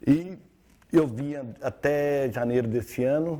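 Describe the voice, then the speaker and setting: A man is talking. The tone is dark and mellow. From Syria. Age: 60s. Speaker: social media influencer on relationships. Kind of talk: TV interview.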